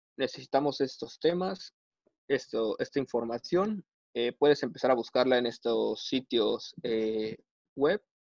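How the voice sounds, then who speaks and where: Recorded dry and close with no echo, a man talks at a fairly slow pace with lively intonation. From Veracruz, Mexico. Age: 20s. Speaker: mechanical engineer. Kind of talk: casual interview. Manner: hesitant, many fillers.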